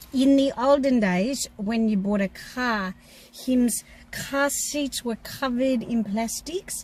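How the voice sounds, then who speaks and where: The delivery is very slow, with an Australian accent. Pitch rises and falls in an ordinary way. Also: woman, high pitch for a woman. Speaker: car maintenance teacher and channel co-host. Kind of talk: casual Q&A chat.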